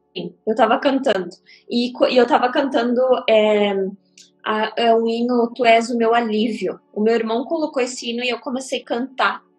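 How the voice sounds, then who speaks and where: Music plays behind a woman whose fairly high voice keeps a fairly even intonation. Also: moderate pace. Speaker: psychic livestreamer. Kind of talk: livestream chat. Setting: livestream.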